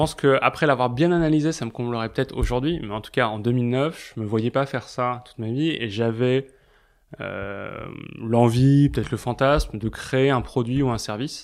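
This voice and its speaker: A man's medium-pitched voice at a moderate pace, with big swings in loudness and fairly even intonation, on a very clean recording with a silent background. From Paris. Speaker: advertising blog founder. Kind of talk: casual interview. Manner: hesitant, many fillers.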